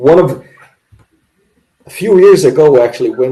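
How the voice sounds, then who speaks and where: A man speaks with a Portuguese accent. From Brazil. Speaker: craft brewer. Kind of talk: casual chat.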